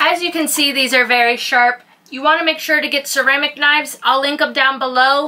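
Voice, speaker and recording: A woman's raised, projected voice at a very fast pace, with fairly even intonation. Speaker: sailing vlogger. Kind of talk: casual vlog product tutorial. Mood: playful, teasing. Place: boat.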